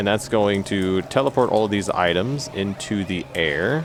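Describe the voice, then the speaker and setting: A man with a fairly low voice talks amid noticeable background noise. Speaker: gaming YouTuber. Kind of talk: gameplay commentary. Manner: halting, stutters a lot.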